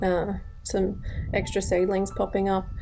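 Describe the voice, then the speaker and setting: Over noticeable background noise, a woman with an Australian accent speaks at a medium pitch. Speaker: home gardener, channel owner. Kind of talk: garden tour walkthrough. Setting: outdoors in garden. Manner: hesitant, filler words.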